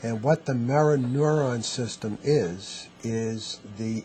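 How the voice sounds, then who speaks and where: A man talks with a New York accent at a medium pitch. Noticeable background noise runs behind him. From US, New York. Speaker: neurotherapy clinician. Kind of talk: interview.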